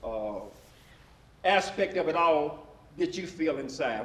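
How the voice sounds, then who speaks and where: A voice with a West Tennessee accent and very wide pitch swings, amid audible room echo and noticeable background noise. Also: man. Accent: US Southern (West Tennessee). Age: 70s. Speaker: panel moderator. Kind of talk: panel discussion. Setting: stage with audience. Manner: halting.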